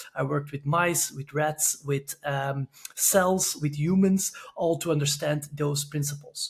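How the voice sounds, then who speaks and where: A man speaks with a Belgian accent at a fairly slow pace, his pitch fairly high and his intonation fairly even. Noticeable background noise sits behind him. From Belgium, Antwerp. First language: Dutch. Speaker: sport scientist. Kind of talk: podcast interview. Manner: halting, many fillers.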